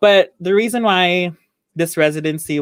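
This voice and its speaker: A woman speaking fairly slowly in a Filipino accent, ordinary pitch variation, dry and close sound with no echo. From Philippines. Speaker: dancer and co-host. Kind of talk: casual chat.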